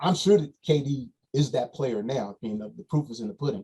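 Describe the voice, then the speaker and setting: This man's voice sits fairly high. A somewhat breathy quality runs through it. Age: 60s. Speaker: basketball coach. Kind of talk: podcast interview.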